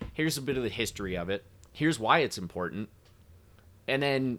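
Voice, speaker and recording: Over a silent background in a very clean recording, a man talks at a fairly quick pace with lively intonation. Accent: Midwestern American. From US Midwest. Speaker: whiskey brand representative. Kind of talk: casual chat.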